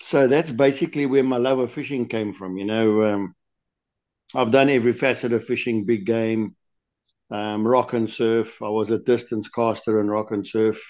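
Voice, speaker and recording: An ordinary speaking voice from a man, medium in pitch, at a moderate pace with fairly even intonation against a quiet background. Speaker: lure designer guest. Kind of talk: interview answers, casual chat.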